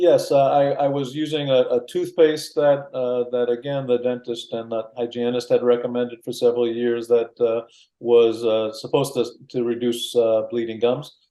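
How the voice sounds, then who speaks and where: Medium-pitched male speech in a dark, mellow tone with fairly even intonation. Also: moderate pace. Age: 60s. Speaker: customer giving a product testimonial. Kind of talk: interview testimonial. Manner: halting, many fillers and repetitions.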